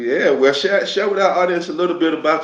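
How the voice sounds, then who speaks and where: A man's voice with an American accent and audible echo from the room. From United States. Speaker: podcast host. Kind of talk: interview.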